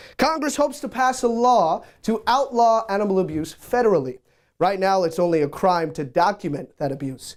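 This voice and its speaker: A man speaks at a moderate pace in a high pitch, with very wide pitch swings. The recording is very clean over a silent background. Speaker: TV news reporter. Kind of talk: TV news report.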